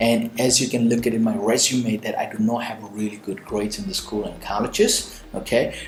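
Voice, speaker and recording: Amid noticeable background noise and audible room echo, a man with an Indian accent talks at a fairly quick pace and medium pitch, with fairly even intonation and hardly any pauses. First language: Indian language. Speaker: motivational speaker and entrepreneur. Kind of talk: Q&A advice monologue. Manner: conversational with frequent fillers.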